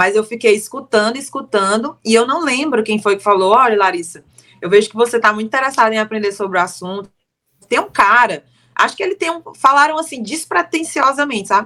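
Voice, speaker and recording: With lively intonation, a woman of fairly high pitch speaks at a fairly quick pace. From Brazil, Fortaleza (Ceará). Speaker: timeshare sales consultant. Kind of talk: casual interview chat.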